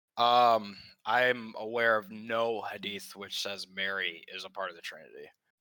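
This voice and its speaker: With an American accent, the speaker has a bright, sharp tone, fairly even intonation and a fairly slow pace. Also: man, medium pitch for a man, big swings in loudness. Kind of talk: debate.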